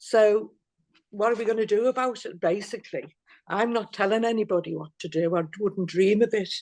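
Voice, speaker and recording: In a Liverpool accent, a woman talks with fairly even intonation and fairly high pitch. The background is quiet. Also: moderate pace. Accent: Liverpool (Scouse). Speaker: activist. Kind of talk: interview. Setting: video call. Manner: halting.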